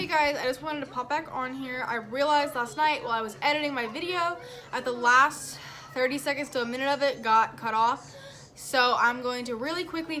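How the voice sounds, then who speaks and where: A woman uses a raised, projected voice with a high pitch and ordinary pitch variation. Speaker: family vlogger. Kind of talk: casual vlog talk.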